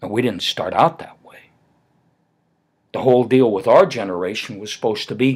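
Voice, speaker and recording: A man of medium pitch speaks with an American accent at a moderate pace. His tone is animated, with big swings in loudness. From Germany, then US. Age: 60s. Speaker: retired commentator. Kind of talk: casual rant to camera. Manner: animated, halting with repetitions.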